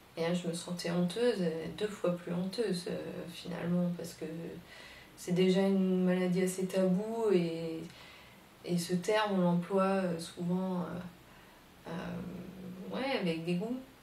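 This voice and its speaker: Noticeable background noise runs behind a woman speaking at a fairly low pitch. She talks at a very slow pace in a monotone, flat intonation. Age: 20s. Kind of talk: personal testimony to camera. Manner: hesitant, emotional.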